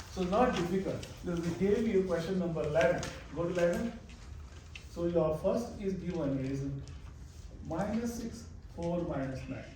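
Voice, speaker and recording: A high-pitched man with ordinary pitch variation and long, frequent pauses, amid noticeable background noise and audible room echo. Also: moderate pace. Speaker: math teacher. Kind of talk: live classroom lecture. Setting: classroom. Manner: halting.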